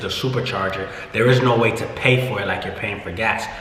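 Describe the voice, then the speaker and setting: An American accent at a fairly quick pace, with audible room echo and noticeable background noise. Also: man. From US Midwest, Indianapolis. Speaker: car rental entrepreneur, vlogger. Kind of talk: casual vlog explanation. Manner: slightly slurred speech.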